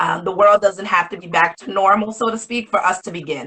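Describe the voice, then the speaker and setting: With a New England accent, a woman speaks at a moderate pace. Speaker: education consultant and business co-founder. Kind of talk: livestream interview. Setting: live video stream.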